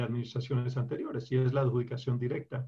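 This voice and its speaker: A man speaks in a somewhat breathy voice. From Colombia. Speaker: lawyer. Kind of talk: interview. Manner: halting.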